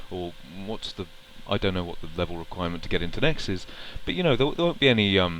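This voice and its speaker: The intonation is lively. A man is talking at a very fast pace. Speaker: gaming vlogger. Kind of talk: casual vlog monologue. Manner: halting, many fillers.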